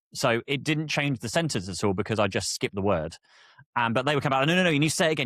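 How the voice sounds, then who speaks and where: The intonation is lively. The sound is dry and close with no echo, on a very clean recording with a silent background. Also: man. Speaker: content creator and podcast host. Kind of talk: casual solo podcast talk. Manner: fast; hesitant, many fillers and restarts.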